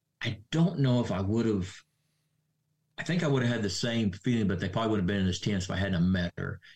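A man's fairly low, somewhat breathy voice with an American accent, very fast, with ordinary pitch variation. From Oklahoma. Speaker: retired firefighter. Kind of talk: interview.

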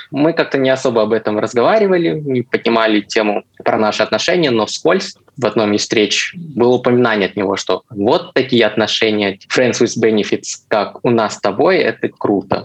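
Speaking at a moderate pace, a man with an ordinary speaking voice and medium pitch uses lively intonation. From Russia, Chelyabinsk. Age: 20s. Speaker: designer, listener telling his story. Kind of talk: personal story in casual chat.

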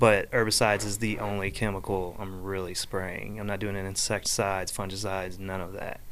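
A man speaks at a fairly quick pace with hardly any pauses, in a fairly low pitch. His intonation is monotone and flat, and the room echo is audible. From Florida, US South. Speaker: lawn care franchise owner. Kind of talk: casual chat. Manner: halting, repeats words.

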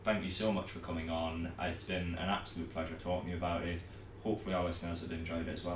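Against music in the background, a man with a very deep, low pitch speaks at a very fast pace. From Newcastle area, northeast England. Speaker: podcast host. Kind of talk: casual interview chat. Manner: hesitant, filler-heavy.

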